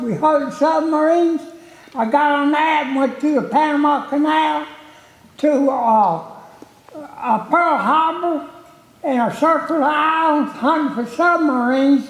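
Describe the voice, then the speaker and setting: A man at an extremely high pitch, with ordinary pitch variation and a fairly slow pace, amid audible room echo and noticeable background noise. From North Carolina. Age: 80s+. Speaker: war veteran. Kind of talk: testimony.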